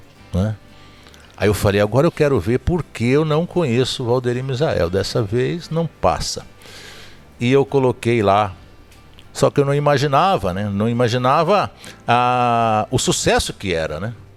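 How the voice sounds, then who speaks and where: A man at medium pitch with lively intonation, a fairly slow pace and long, frequent pauses, with music in the background. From Zona da Mata, Minas Gerais, Brazil. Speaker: podcast host. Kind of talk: casual interview chat, storytelling.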